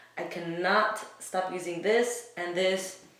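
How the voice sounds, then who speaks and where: A woman's fairly low-pitched voice with fairly even intonation, audible room echo and noticeable background noise. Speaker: beauty vlogger. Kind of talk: makeup tutorial. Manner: casual, chatty.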